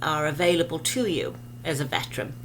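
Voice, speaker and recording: Audible room echo follows a woman speaking at a moderate pace. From England. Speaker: realtor. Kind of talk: promotional video talk to camera.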